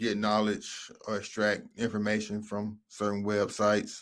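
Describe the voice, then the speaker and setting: On a very clean recording with a silent background, a man speaks at a fairly low pitch and a fairly slow pace. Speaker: YouTuber giving money-making tips. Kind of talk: casual tutorial video. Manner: hesitant, frequent fillers.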